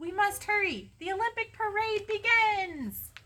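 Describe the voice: Putting on a character voice, a woman speaks at a fairly slow pace with an extremely high pitch, lively intonation and a bright, sharp tone.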